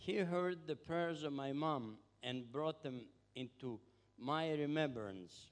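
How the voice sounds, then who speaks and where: The speech comes at a very slow pace with ordinary pitch variation. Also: man, fairly high pitch for a man. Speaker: visiting missionary. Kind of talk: testimony.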